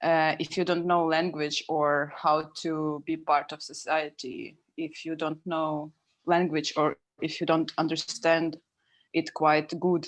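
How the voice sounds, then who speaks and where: A woman talks at a very slow pace in a very deep, low voice. Her intonation is monotone and flat against a quiet background. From Ukraine. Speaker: documentary artist. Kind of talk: casual chat. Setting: video call. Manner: halting.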